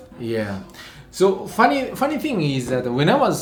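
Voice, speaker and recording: A man's voice over music in the background, with audible room echo. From Japan. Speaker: wine vlogger. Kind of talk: casual chat.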